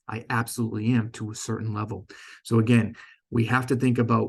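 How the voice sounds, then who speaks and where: In a Boston accent, a man speaks at medium pitch with monotone, flat intonation at a moderate pace. His voice is somewhat breathy, and the background is quiet. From Boston, US. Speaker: company sales director presenting. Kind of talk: conference presentation. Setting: stage with audience. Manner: stumbles and self-corrects often.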